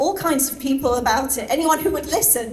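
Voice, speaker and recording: Audible room echo surrounds a woman as she talks. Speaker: animal rights activist. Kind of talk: speech at celebration event. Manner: hesitant, many fillers.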